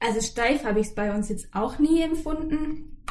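At a moderate pace, a woman with an unremarkable speaking voice talks in fairly even intonation. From Swabian Jura, southern Germany. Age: 20s. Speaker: podcast guest. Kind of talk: casual interview.

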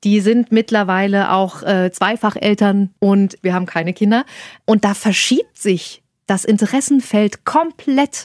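A woman with a plain, everyday voice speaks at a medium pitch and a fairly slow pace, with ordinary pitch variation and very even loudness. The sound is dry and close with no echo, in a very clean recording over a silent background. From Saxony-Anhalt. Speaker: podcast co-host. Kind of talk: casual chat.

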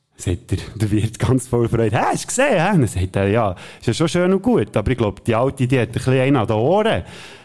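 Speaking very fast with a Swiss accent, a man uses lively intonation at a medium pitch. His tone is animated. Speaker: podcast co-host. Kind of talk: casual chat with joke telling.

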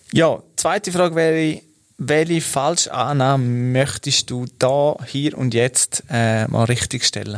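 Recorded very cleanly with a silent background, a man with a Swiss accent speaks at a very slow pace, his fairly high pitch showing ordinary variation. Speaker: corporate podcast host. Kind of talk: interview.

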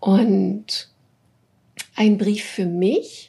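Dark, mellow tone, somewhat breathy. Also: woman. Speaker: business coach for female leaders. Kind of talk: interview. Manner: warm and cheerful.

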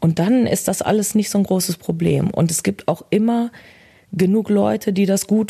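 At a moderate pace, a woman speaks in a dark, mellow, somewhat breathy tone with ordinary pitch variation. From Germany, Bielefeld. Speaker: social media user. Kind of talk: interview. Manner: straight but emotional.

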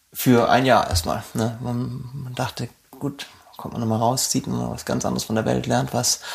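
A man at a moderate pace, with noticeable background noise behind him. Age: 30s. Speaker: arctic nature guide. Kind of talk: interview. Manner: halting, frequent ums and repetitions.

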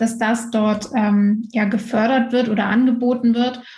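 A woman speaks in a dark, mellow tone with flat, monotone intonation, and room echo can be heard. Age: 20s. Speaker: entrepreneur and social media mentor. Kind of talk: casual interview. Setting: remote recording.

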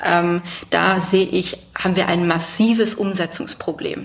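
A woman's medium-pitched voice is heard against noticeable background noise. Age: 30s. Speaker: family business successor and business association official. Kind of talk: interview. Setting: on site at the family company.

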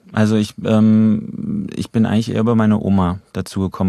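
Against a quiet background, a man with a fairly low pitch and a dark, mellow tone speaks in a flat monotone. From Germany, Trier. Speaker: actor and voice actor. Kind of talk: casual interview chat. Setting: studio.

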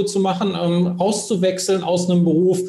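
Against noticeable background noise and audible room echo, a man with a high pitch talks at a moderate pace. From Hesse, Germany (Bad Homburg, Frankfurt area). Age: 40s. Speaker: career and sales coach. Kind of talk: podcast interview.

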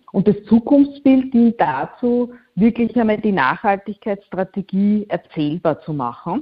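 Intonation is lively and the voice somewhat breathy. The pace is fairly slow. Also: woman, fairly high pitch for a woman. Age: 40s. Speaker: communications consultant. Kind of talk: interview.

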